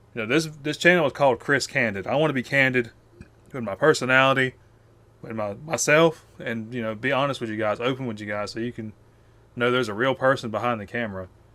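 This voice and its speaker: Talking at a very fast pace, a man with a Southern US accent has a bright, sharp tone, a medium pitch and ordinary pitch variation. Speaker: YouTuber. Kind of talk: one-take rant to camera. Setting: face cam video. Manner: casual, filler-heavy.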